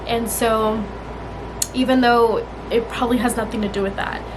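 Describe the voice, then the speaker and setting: Monotone, flat intonation amid audible room echo and noticeable background noise. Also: woman. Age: 20s. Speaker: vlogger. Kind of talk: casual chat.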